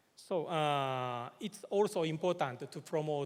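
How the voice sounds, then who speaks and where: The speaker is a man. He talks with a Japanese accent. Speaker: government official. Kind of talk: conference presentation. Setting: conference hall. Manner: halting, many filler words.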